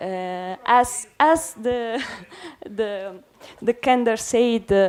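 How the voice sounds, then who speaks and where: Here a woman talks in an Italian accent. Her pitch is fairly high. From Italy. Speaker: theatre director. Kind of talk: seminar talk. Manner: halting.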